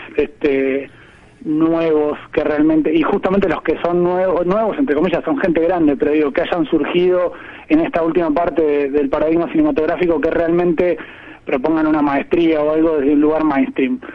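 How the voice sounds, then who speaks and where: Over noticeable background noise, a man speaks at a moderate pace with a fairly high pitch, ordinary pitch variation and very even loudness. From Argentina, Dolores (Buenos Aires province). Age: 30s. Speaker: film director. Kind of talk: radio interview.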